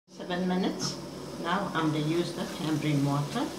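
A woman speaks at a moderate pace. Loud background noise runs underneath. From South Africa. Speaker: home cook. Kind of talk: cooking demonstration. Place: kitchen. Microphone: phone near.

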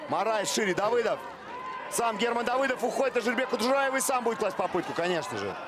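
This man speaks at a very fast pace with an extremely high pitch. His tone is animated, and noticeable background noise sits behind him. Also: ordinary pitch variation. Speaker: rugby commentator. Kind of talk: live sports commentary on a rugby match, with highlights voiceover. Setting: stadium broadcast in Monino. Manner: animated, rapid-fire play-by-play, rising excitement on tries; rapid, clipped name-and-action calls, with asides explaining the play.

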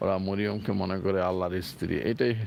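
Fairly low in pitch, this man has a plain, everyday voice. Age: 60s. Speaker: Islamic preacher, vlogger. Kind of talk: informal religious talk, walking vlog. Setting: outdoors, apartment grounds.

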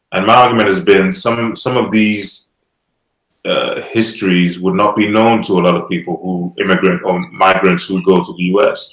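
A man at fairly low pitch with ordinary pitch variation, speaking at a moderate pace in a quiet background with audible room echo. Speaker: online show host. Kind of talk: panel discussion. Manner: hesitant, many fillers. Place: home room.

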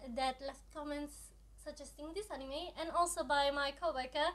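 At a moderate pace, a woman talks with ordinary pitch variation. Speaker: anime reaction youtuber. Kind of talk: casual vlog chat. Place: home room.

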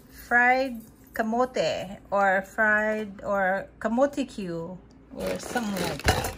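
A woman speaks at a very slow pace amid noticeable background noise. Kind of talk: casual vlog chat. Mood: cheerful, playful. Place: kitchen. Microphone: phone near.

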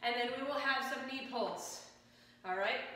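A woman's raised, projected voice, high-pitched and upbeat, with strong room echo. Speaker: fitness instructor. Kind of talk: guided exercise class, leading a workout with live cues. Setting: home workout video. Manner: brisk, upbeat and encouraging, firing off short commands and rep countdowns; energetic, coaching in a friendly conversational tone. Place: gym.

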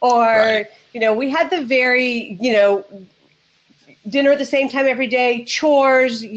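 A woman with an American accent speaks at a high pitch and a moderate pace. Her pitch varies in an ordinary way, and she takes long, frequent pauses. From United States. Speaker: relationship coach and former therapist. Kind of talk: casual chat. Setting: video call with headset. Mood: warm, upbeat. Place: home room.

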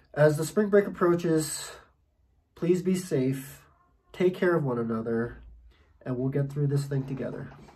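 A man with a dark, mellow, somewhat breathy voice speaks at a fairly high pitch and moderate pace, with ordinary pitch variation. Long, frequent pauses break up his speech, and the room echo is audible. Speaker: English professor. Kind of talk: video message.

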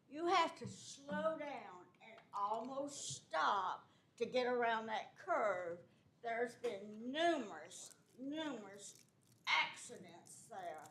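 A woman speaks at a very slow pace with very wide pitch swings. Room echo is audible. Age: 80s+. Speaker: resident speaking at public meeting. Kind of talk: public comment.

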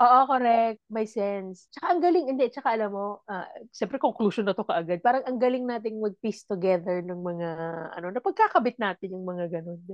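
In a dry recording with no echo and a quiet background, a woman speaks. Her pitch is fairly high, her pace fairly quick, and her intonation lively. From Philippines. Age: 40s. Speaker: podcast co-host. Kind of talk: casual chat. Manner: laughs often. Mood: playful, laughing. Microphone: earbuds.

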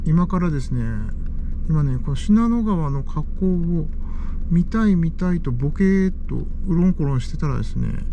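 The speech moves at a moderate pace, recorded dry with no echo and with light background noise. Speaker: car-camping vlogger. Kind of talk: casual talk to camera. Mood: amused, relaxed. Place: car. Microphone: camera far.

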